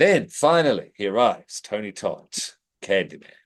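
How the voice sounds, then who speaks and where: A man's pitch swings very widely as he talks fairly quickly against a quiet background. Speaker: podcast host. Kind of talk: casual chat.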